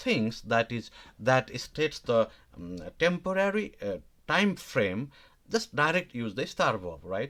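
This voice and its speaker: Very wide pitch swings at a fairly slow pace. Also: man. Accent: Nepali. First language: Nepali. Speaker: language teacher. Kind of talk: live online lesson. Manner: halting, many fillers.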